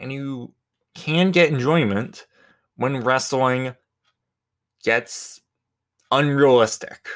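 A man speaks at a medium pitch. His pace is very slow, broken by long, frequent pauses. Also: ordinary pitch variation. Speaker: solo podcaster. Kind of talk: casual solo monologue. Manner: rambling, with frequent fillers and restarts. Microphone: new microphone.

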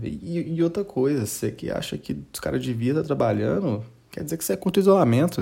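A man talks at a fairly quick pace in a dark, mellow tone that is somewhat breathy. His pitch swings very widely. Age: 20s. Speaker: news podcast host. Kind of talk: casual comedic news commentary. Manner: animated.

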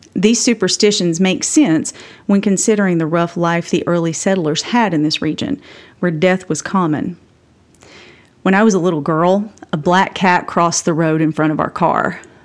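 A woman speaks with an Appalachian accent. Her pitch is fairly low and her pace moderate. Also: ordinary pitch variation. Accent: Appalachian Southern US. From Appalachia, Tennessee. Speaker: podcast host. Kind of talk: scripted narration, personal storytelling.

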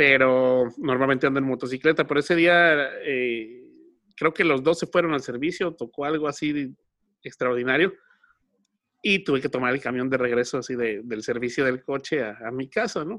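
In a Mexican accent, a man talks at a moderate pace with a medium pitch and ordinary pitch variation. His tone is bright and sharp, and the background is quiet. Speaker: podcast host. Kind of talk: casual chat. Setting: recording from home.

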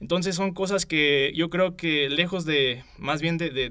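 A man talks in a fairly high voice with fairly even intonation. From Michoacán, Mexico. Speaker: university student. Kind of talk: interview. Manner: halting.

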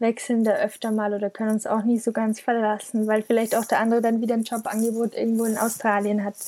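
A woman speaks at a very fast pace in a monotone, flat manner. Her tone is dark and mellow. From Bavaria, village south of Munich. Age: 20s. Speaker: freelance copywriter and blogger. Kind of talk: interview.

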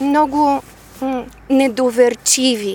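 This woman speaks in a high pitch. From Bulgaria, Devnya near Varna. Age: 50s. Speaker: speech therapist and civic activist. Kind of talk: interview.

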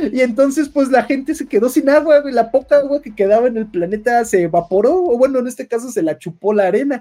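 A man with a Mexican accent rattles along at a very fast pace with hardly any pauses, his extremely high pitch paired with a dark, mellow tone. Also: lively intonation. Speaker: podcast narrator. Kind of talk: lore storytelling narration. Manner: filler-heavy casual.

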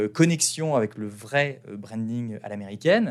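The recording is very clean, its background silent. The man's pitch is medium and his intonation lively. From France. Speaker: podcast host, branding entrepreneur. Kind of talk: casual monologue. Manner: hesitant, many fillers.

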